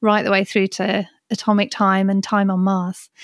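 A woman speaks at a moderate pace and medium pitch with monotone, flat intonation in a very clean recording with a silent background and a dry, close sound with no echo. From Birmingham, England. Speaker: watchmaker and historian. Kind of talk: interview conversation.

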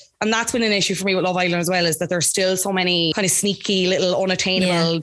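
A woman's voice in an Irish accent over music in the background. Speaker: Love Island commentator and podcast producer. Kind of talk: casual interview chat.

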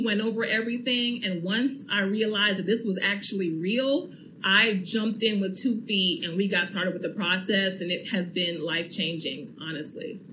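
A woman at a medium pitch speaks at a moderate pace with hardly any pauses and ordinary pitch variation. Noticeable background noise and audible room echo are present. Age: young. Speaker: first-time homeowner. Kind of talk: radio testimony interview.

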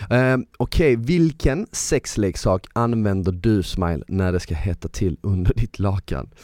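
A dark, mellow tone with lively intonation, dry and close with no echo, on a very clean recording with a silent background. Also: man, fairly low pitch for a man. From southern Sweden (Malmö). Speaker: podcast host. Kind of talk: casual chat. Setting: studio.

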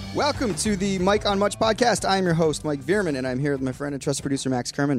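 Over music in the background, a man talks very fast with hardly any pauses. His fairly high voice makes very wide pitch swings. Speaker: podcast host. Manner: casual, joking.

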